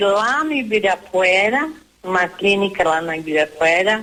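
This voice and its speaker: A woman talks at a fairly slow pace with lively intonation and a medium pitch. Noticeable background noise runs behind her. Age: 70s. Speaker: radio caller. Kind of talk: phone-in question.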